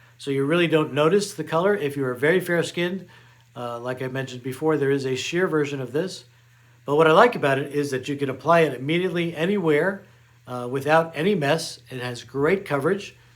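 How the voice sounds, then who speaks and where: An unremarkable speaking voice, a man's, fairly high in pitch, with ordinary pitch variation and a fairly quick pace. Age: 60s. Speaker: beauty vlogger. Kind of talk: product review tutorial. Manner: casual, with frequent fillers.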